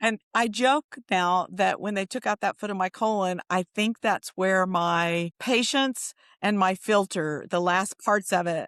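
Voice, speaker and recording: In a dry, close recording with no echo, a woman with a plain, everyday voice and a medium pitch talks at a fairly slow pace with hardly any pauses. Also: ordinary pitch variation, quiet background. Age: 60s. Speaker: nonprofit executive. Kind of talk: interview. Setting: podcast.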